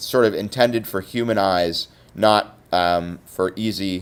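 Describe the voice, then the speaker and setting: A man at a very slow pace, on a very clean recording with a silent background. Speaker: teacher. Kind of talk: tutorial. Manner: hesitant, many fillers.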